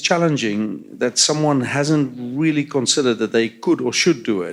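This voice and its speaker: With a South African accent, a man talks at a moderate pace and a fairly high pitch. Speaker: transit agency CEO. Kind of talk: panel discussion. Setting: stage with audience.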